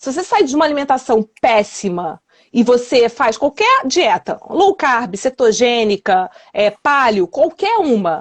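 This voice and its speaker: Speaking at a fairly slow pace, a woman uses a high voice that swings very widely in pitch. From Rio de Janeiro, Brazil. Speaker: weight loss and wellness coach. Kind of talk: interview answer.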